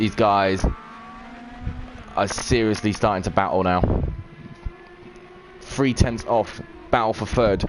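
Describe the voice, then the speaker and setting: A man speaks in a fairly low pitch, fairly slowly, with long, frequent pauses. Noticeable background noise sits underneath. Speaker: esports race commentator / live streamer. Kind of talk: live commentary. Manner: animated.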